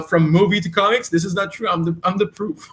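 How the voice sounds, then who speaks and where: Speaking with a Quebec accent, a man uses a high pitch. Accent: French-Canadian accent in English. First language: French. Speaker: comic book writer and creator. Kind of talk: interview. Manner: halting, many repetitions and fillers.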